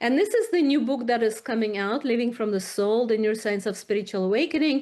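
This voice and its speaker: A woman's high-pitched voice with ordinary pitch variation, on a very clean recording with a silent background. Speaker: psychiatry researcher. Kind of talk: presentation. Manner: halting.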